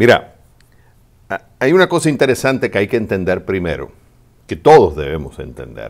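A man talks at a fairly quick pace. His voice has vocal fry. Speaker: advice show host. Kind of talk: advice answer to a listener. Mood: calm, empathetic. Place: studio. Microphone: studio mic.

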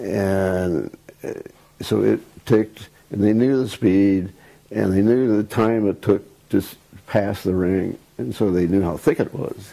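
With long, frequent pauses, a man speaks at a fairly slow pace and fairly low pitch, his tone dark and mellow and his pitch variation ordinary. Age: 90s. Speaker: retired aerospace engineer and author; interviewee. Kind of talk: interview. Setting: video interview. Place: home room.

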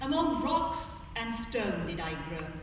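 A woman speaks at a very slow pace with lively intonation. Strong room echo and light background noise surround her voice. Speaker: spoken word performer. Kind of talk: poetry reading. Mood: emotional, longing. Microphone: camera far.

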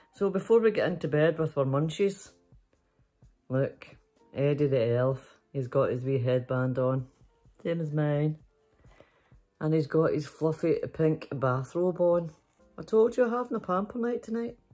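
Over faint music in the background, a woman with a very deep, low pitch speaks at a fairly slow pace with long, frequent pauses. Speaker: storytelling vlogger. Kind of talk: casual vlog chat. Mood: playful, giggly. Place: home room. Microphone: phone near.

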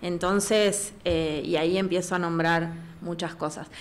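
Here a woman is talking. Her pace is fairly slow. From Patagonia, Argentina. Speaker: physiotherapist. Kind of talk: casual interview. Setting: studio. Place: studio. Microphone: studio mic.

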